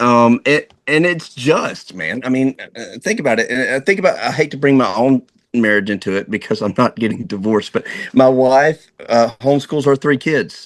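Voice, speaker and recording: His intonation is lively, and he speaks at a moderate pace. This man has a plain, everyday voice, pitched in the medium range. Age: 40s. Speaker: divorce attorney. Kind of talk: casual chat.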